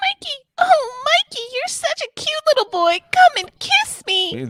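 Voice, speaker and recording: An extremely high put-on character voice at a moderate pace. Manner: coaxing, sweet.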